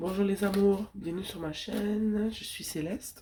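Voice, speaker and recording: Very slowly, a woman talks in a dark, mellow tone. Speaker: tarot reader. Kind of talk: tarot reading.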